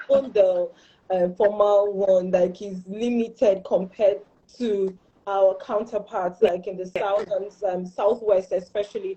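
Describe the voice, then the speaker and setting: Speaking in a Northern Nigerian accent, a woman at medium pitch talks at a fairly slow pace with monotone, flat intonation and big swings in loudness. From Borno State, Northern Nigeria. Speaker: panelist. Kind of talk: online panel discussion.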